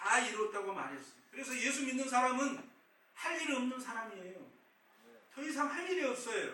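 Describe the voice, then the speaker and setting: The voice is raised and projected, moving at a moderate pace with ordinary pitch variation, and the room echo is audible. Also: man. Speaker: pastor. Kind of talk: sermon.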